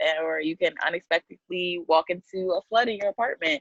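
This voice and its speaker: A woman's fairly low voice with lively intonation at a fairly quick pace, dry and close with no echo. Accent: American. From Queens, New York. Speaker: podcast guest, founder of a social media project. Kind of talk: casual podcast chat.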